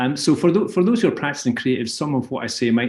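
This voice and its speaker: A man with a Scottish accent. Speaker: advertising creative director. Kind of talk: webinar presentation. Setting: video call. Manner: hesitant, many fillers.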